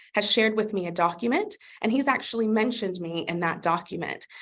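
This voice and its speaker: A woman with a normal speaking voice talks at a fairly quick pace. Her pitch is fairly high and her intonation is lively. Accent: American. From USA. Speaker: customer success manager. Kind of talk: webinar product demo. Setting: live webinar. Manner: upbeat, conversational.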